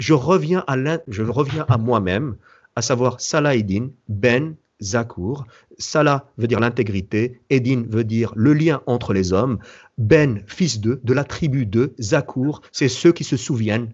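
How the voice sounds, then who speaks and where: A man speaks at a very slow pace, with a medium pitch and ordinary pitch variation. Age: 40s. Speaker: entrepreneur and event founder. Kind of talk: interview. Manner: halting.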